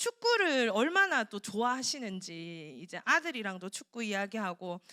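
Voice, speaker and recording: In a Gyeongsang accent, a woman speaks at a fairly high pitch with an animated tone. Her intonation is lively, and the sound is dry and close with no echo. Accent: Gyeongsang dialect, noticeable. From South Korea, Daegu (Gyeongsang). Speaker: preacher. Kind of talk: sermon. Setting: church.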